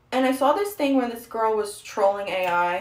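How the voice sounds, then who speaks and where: A woman speaks at a moderate pace in a fairly high pitch, her intonation lively against audible room echo. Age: young. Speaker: streamer. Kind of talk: casual chat. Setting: livestream while doing makeup.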